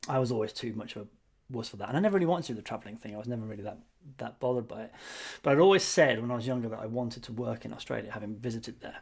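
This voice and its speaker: Speaking very fast with an ordinary amount of pitch movement, a man with a British accent and a medium-pitched voice swings widely in loudness over a very clean recording with a silent background. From England. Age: 40s. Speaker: podcast co-host, marketer. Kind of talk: casual chat.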